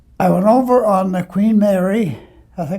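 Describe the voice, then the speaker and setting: With an Ontario accent, a man speaks in a dark, mellow tone. His pace is moderate and his pitch variation ordinary. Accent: Canadian (Ontario). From Ontario, Canada. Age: 90s. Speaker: war veteran. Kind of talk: interview testimony. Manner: halting, repeating words.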